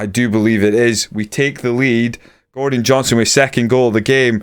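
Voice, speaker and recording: A man speaks in an animated tone. His pace is fairly quick. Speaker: gaming YouTuber. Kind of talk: video game commentary.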